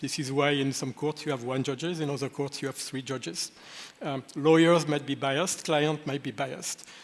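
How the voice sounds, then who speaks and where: Fairly high-pitched man with a French accent and fairly even intonation. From France. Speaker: lawyer. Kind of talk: panel discussion. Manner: hesitant, many fillers.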